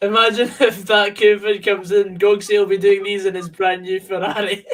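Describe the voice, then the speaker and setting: A man talks in a Scottish accent with a high pitch at a moderate pace. His intonation stays monotone and flat. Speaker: football fan co-commentator. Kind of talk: casual chat. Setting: call.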